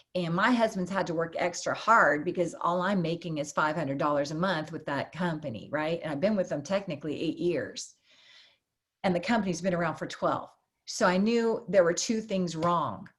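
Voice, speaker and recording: A woman's somewhat breathy, fairly low-pitched voice at a moderate pace. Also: ordinary pitch variation. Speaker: network marketer. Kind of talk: testimony.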